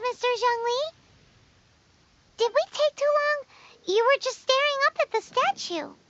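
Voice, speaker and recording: In a squeaky, put-on character voice at an extremely high pitch, the speaker moves at a moderate pace with long, frequent pauses. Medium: video game. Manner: energetic, chatty.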